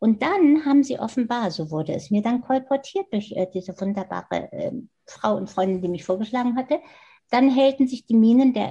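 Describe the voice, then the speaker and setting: Her pitch is fairly high for a woman, yet her tone is dark and mellow. She talks at a fairly quick pace with lively intonation. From Germany, Hannover. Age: 70s. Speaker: design professor. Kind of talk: interview.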